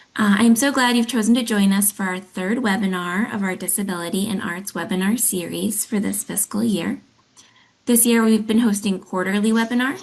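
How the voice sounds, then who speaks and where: A somewhat breathy woman at medium pitch, fairly quick in pace, with fairly even intonation. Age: 30s. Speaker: arts agency accessibility director. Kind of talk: webinar introduction. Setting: online webinar.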